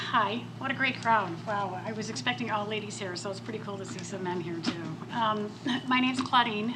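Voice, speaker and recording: A woman talks at a fairly quick pace with lively intonation and a medium pitch. Noticeable background noise and audible room echo fill the recording. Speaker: business owner. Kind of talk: panel talk. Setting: stage with audience. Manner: soft-spoken.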